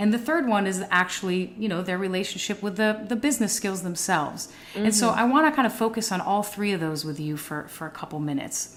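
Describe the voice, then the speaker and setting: Noticeable background noise sits behind a woman talking at a very fast pace with hardly any pauses. Her intonation is lively. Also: medium pitch for a woman. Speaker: podcast host. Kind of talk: podcast interview host.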